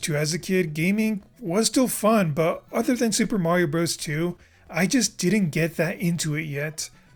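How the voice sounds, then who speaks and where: Speech at a moderate pace over music in the background. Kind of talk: personal storytelling narration. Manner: rough, inexperienced script read.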